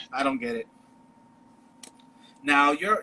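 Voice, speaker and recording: The speaker, with a Chicago accent, uses very wide pitch swings. Noticeable background noise is present. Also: man. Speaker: podcast host. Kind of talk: casual chat.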